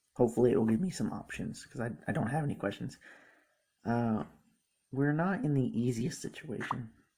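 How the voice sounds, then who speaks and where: A man with a dark, mellow tone and a somewhat breathy sound talks at a fairly quick pace with lively intonation. Long, frequent pauses break up his speech. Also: medium pitch for a man. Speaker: gaming YouTuber. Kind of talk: gameplay commentary reading game text aloud. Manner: halting.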